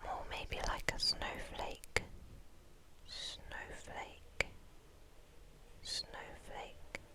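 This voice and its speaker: The voice is a whisper, delivered very slowly. Long pauses break it up frequently. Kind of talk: ASMR whispered ramble. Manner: whispered.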